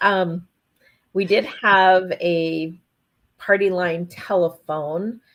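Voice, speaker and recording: A woman with an Upper Midwest accent speaks at medium pitch with fairly even intonation. Her pace is very slow, broken by long, frequent pauses. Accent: Upper Midwest American. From North Dakota. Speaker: ranch wife and administrative assistant. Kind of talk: casual interview chat.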